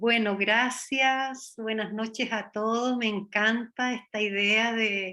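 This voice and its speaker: In a Chilean accent, the speaker talks at a very slow pace with monotone, flat intonation. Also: woman. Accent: Chilean lilt. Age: 60s. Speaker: dancer and Feldenkrais student. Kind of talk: interview testimony. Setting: video call.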